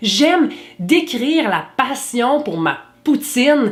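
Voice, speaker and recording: A woman speaks in a Quebec accent. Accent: Québécois. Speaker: YouTuber. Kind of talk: vlog monologue.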